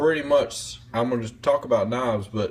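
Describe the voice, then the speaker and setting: Speaking at a moderate pace with ordinary pitch variation, a man talks in a Southern US accent. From US South, North Carolina. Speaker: knife reviewer. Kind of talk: casual vlog monologue. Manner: rambling, hesitant with fillers.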